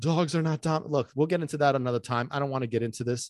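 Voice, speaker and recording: The voice sounds animated, with ordinary pitch variation, a quiet background and a dry, close sound with no echo. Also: man. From US, partly raised in Sicily. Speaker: dog trainer and podcast host. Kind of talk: casual monologue. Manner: fast.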